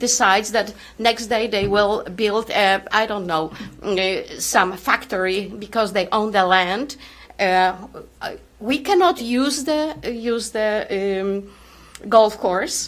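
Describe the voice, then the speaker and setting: A woman with fairly high pitch and ordinary pitch variation speaks at a very slow pace. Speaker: resident speaking at public meeting. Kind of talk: public comment at town meeting. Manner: loud; halting.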